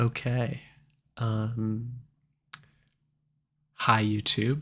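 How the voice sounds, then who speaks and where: Soft-spoken, a man talks in a monotone, flat delivery with a bright, sharp tone. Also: medium pitch for a man. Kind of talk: ASMR soft-spoken talk to camera.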